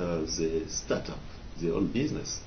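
A man's very deep, low voice at a fairly slow pace, over noticeable background noise. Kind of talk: interview answer. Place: office. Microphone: camera far.

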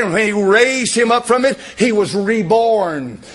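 A man speaks at a fairly slow pace in a high voice. His tone is animated. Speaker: preacher. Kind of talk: sermon. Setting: church. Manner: emphatic, repetitive, pounding home points with direct appeals; animated, fervent pulpit delivery with frequent amens. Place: church. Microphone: podium.

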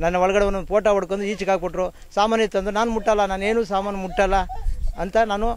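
Over light background noise, a man with a high pitch talks in a monotone, flat intonation with very even loudness, the sound dry with no echo. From Karnataka, Bengaluru rural village; Karnataka. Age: 50s. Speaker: affected resident, farm labourer. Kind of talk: testimony to press. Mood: aggrieved, complaining. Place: open country. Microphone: handheld.

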